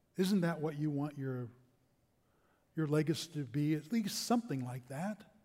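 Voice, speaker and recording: A man talks at a moderate pace in a fairly high pitch, somewhat breathy. His intonation is lively, with long, frequent pauses. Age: 60s. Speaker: pastor. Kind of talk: sermon.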